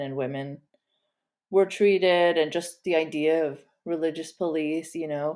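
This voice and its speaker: On a very clean recording with a silent background, a woman speaks at a very slow pace with a fairly low pitch and a dark, mellow tone. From Saudi Arabia, expat compound, Pakistani family. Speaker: author and podcast host. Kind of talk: interview conversation.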